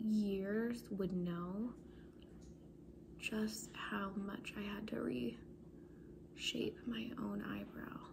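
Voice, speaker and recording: Soft-spoken and at a very slow pace, the voice is heard against noticeable background noise. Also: woman. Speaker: beauty vlogger. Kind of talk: casual vlog chat. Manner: soft-spoken, hushed ASMR voice. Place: home room. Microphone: phone near.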